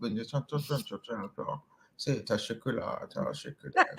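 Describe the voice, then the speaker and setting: A man in a put-on character voice mumbles at a moderate pace and a fairly high pitch. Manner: talking with the mouth barely moving, mumbling.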